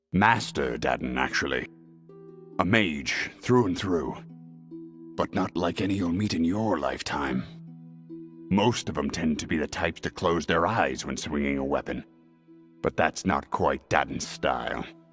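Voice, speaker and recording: Over clear background music, a man uses a put-on character voice at a very deep, low pitch, speaking at a moderate pace with long, frequent pauses. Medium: machinima. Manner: laconic, dry.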